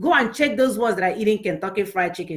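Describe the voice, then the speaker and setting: With a Nigerian accent, a woman speaks at a very fast pace in an animated tone. Her intonation is lively. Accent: Nigerian Igbo English. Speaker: women's show host. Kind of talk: motivational talk show. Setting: live online stream.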